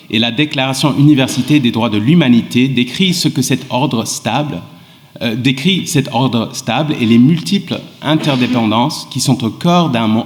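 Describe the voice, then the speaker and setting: Speaking with an English accent, a man keeps a fairly slow pace and lively intonation. Noticeable background noise sits behind him. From England and Sweden. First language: English (speaking French). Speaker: law professor. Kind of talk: panel talk. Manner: halting.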